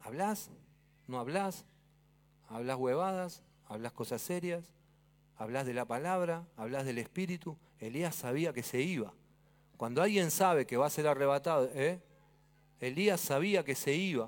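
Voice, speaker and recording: A man with an Argentine accent speaks at a fairly slow pace with long, frequent pauses, his fairly high voice carrying lively intonation over a very clean recording with a silent background. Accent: Argentine Spanish (Rioplatense). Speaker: pastor. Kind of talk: sermon. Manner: animated.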